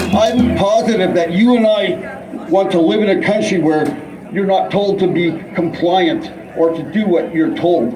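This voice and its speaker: A man speaks high for his sex at a fairly slow pace, with lively intonation and very even loudness. There is audible room echo and noticeable background noise. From Canada. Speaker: protest speaker. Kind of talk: rally speech. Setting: outdoor rally with crowd. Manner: halting.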